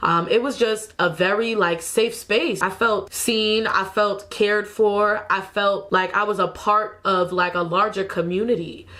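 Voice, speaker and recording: An unremarkable speaking voice moves at a fairly slow pace with ordinary pitch variation, very even loudness and hardly any pauses. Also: woman. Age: 20s. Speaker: videographer and small business owner. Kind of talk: casual talk to camera.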